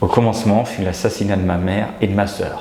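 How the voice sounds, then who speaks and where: There is audible room echo and noticeable background noise as a man speaks at a fairly slow pace. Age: 50s. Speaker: podcast host. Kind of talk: interview.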